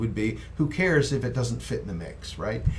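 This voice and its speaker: A man talks with audible echo from the room around him. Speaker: microphone company representative. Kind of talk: casual interview.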